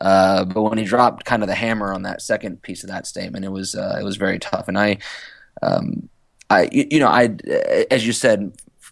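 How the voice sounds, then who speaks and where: A man with an American accent talks at a fairly quick pace, his loudness swinging widely. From US South, Roanoke, Virginia. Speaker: former professional footballer and scout. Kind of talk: casual interview. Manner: halting, many fillers and repetitions.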